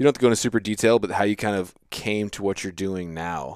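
A man with a normal speaking voice and a fairly low pitch keeps his intonation fairly even in a very clean recording with a silent background. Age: 30s. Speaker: hunting podcast host. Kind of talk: casual chat.

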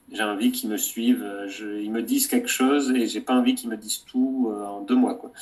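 A man talks at a moderate pace. Background music can be heard behind him. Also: big swings in loudness. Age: 30s. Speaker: documentary filmmaker. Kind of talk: interview. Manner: halting.

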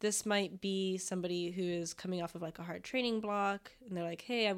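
A woman with an American accent speaks in an unremarkable speaking voice at medium pitch. Her pace is fairly quick and her intonation fairly even on a very clean recording with a silent background. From Florida. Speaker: physical therapist. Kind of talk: casual interview chat.

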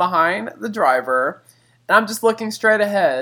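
Raising and projecting his high voice with a bright, sharp tone, a man speaks at a moderate pace in a very clean recording with a silent background. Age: 20s. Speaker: podcast co-host. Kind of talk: casual chat.

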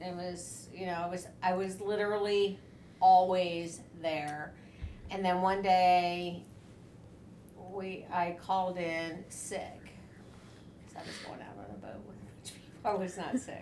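Over noticeable background noise, a woman with an American accent talks very slowly with long, frequent pauses. Her intonation stays fairly even while her loudness swings widely. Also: medium pitch for a woman. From US South, Tennessee. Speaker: podcast co-host. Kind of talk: casual chat.

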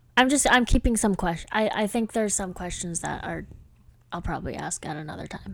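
With vocal fry and lively intonation, a woman talks at a fairly quick pace and a medium pitch. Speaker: podcast co-host. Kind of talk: casual chat. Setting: college dorm room.

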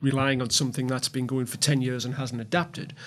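With a Geordie accent, a man of medium pitch speaks very fast in a monotone, flat delivery. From Newcastle, north-east England. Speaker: gaming industry consultant. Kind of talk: panel discussion.

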